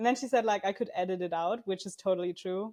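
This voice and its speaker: A woman with a German accent talks very fast at a medium pitch, her tone dark and mellow and her intonation fairly even. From Germany. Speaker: crochet pattern designer. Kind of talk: podcast interview. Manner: frequent um filler.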